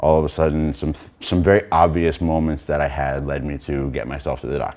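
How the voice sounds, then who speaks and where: At a fairly quick pace, a man speaks with a very deep, low pitch and a dark, mellow tone that sounds shaky. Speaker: brain surgery patient, panel member. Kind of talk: panel talk, personal testimony. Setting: in front of an audience with microphone and lights. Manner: shaky voice; hesitant, many filler words.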